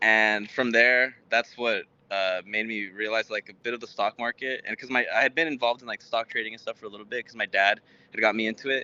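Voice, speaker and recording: A man with a Spanish accent, medium pitch, fairly even intonation, big swings in loudness and a fairly quick pace. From Texas, Houston, Mexican household. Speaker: startup founder, software engineer. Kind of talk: interview. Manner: halting, many fillers.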